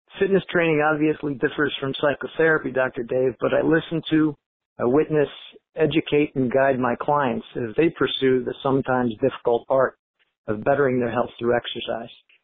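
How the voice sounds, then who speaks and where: A man with a normal speaking voice, fairly high in pitch, at a fairly quick pace with fairly even intonation. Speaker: personal trainer, listener contributor. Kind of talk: recorded listener message.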